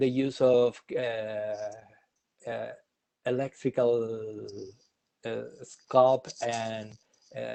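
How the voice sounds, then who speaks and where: The speaker is a man with a Spanish accent. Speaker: obstetric health expert. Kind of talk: webinar Q&A. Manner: halting.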